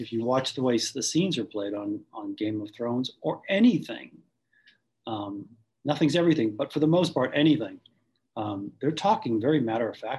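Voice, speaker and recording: This man's voice is somewhat breathy, with lively intonation. He speaks with an American accent. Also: medium pitch for a man, moderate pace. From Boston, US. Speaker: on-camera acting coach.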